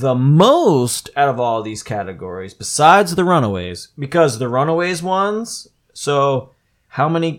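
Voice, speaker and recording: A man's fairly high, ordinary speaking voice at a moderate pace, in a very clean recording with a silent background. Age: 30s. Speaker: podcast host. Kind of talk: casual chat.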